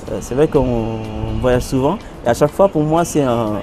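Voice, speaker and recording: A man speaking at a fairly slow pace with ordinary pitch variation, music in the background. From Senegal (Dakar). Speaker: singer and percussionist. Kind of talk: interview answer. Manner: hesitant, many fillers.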